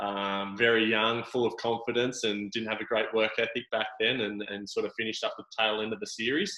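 The man's intonation is flat and monotone, with an Australian accent. He talks at a fairly quick pace. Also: medium pitch for a man. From Sydney, Australia. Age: 30s. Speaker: surf ironman athlete. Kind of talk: casual interview.

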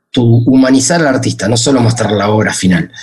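A man's voice over music in the background. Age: 40s. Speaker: music streaming company executive. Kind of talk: interview. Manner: halting, many repetitions and fillers.

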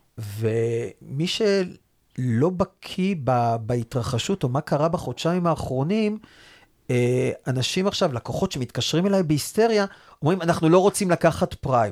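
Recorded dry and close with no echo on a very clean track with a silent background, a man with a fairly high voice speaks at a fairly slow pace using very wide pitch swings. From Israel, Rehovot. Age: 40s. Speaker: mortgage advisors' association chairman. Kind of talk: interview.

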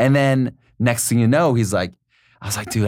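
A man with a Californian accent talks at a fairly quick pace. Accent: Californian American English. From US West Coast, San Diego. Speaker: guest. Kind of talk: casual chat.

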